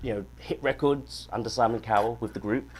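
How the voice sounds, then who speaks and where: Noticeable background noise sits behind a speaker with a British accent and fairly even intonation. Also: man. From South London, England. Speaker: singer-songwriter. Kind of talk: casual interview. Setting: studio.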